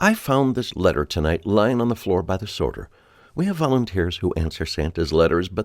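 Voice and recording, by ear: The text is read aloud in a natural voice, its intonation lively.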